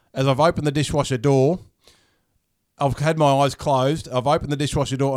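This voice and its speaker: A man with an Australian accent races along at a very fast pace and fairly high pitch on a very clean recording with a silent background. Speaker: podcast host. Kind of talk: casual chat. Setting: studio. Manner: relaxed.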